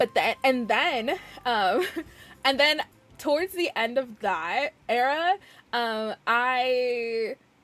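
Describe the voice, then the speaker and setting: Music plays in the background as a woman speaks loudly in a high pitch, her tone animated and her intonation lively. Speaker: video game streamer. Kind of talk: casual chat. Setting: live stream.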